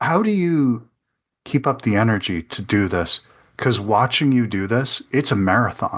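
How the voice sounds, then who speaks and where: Over a quiet background, a man with medium pitch talks at a moderate pace with lively intonation. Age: 40s. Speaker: podcast host. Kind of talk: interview.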